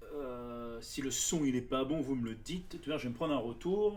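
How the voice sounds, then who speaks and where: A man speaks in a room with audible echo. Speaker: card game streamer. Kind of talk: live stream chat. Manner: soft-spoken.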